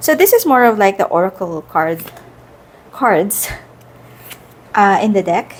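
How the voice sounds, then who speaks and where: A woman at medium pitch and moderate pace, with noticeable background noise. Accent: Filipino. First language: Filipino. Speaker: tarot content creator. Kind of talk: casual product review. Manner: casual, hesitant with fillers.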